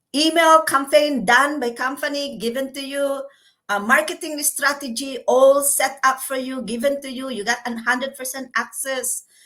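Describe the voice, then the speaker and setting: A woman projects a raised, high voice with a bright, sharp tone at a fairly slow pace. Her intonation stays fairly even while her loudness swings a lot. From Philippines. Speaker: caregiver and online business owner. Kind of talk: interview testimony.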